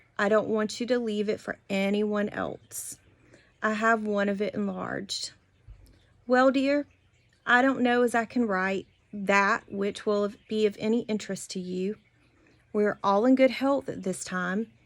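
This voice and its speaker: A woman with an American accent speaks at a fairly slow pace, her fairly high pitch held in fairly even intonation. Long, frequent pauses break her speech in a very clean recording with a silent background. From US South, South Georgia. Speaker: family history storyteller. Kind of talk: reading aloud.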